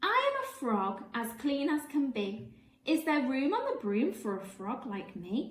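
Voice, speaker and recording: Using a put-on character voice, a woman speaks croakily at a high pitch and a fairly slow pace, with a slight echo. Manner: polite.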